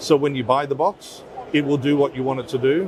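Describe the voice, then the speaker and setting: A man at a medium pitch and a moderate pace, with fairly even intonation and noticeable background noise. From Australia, Perth. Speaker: audio company general manager. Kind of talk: trade show interview. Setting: trade expo floor.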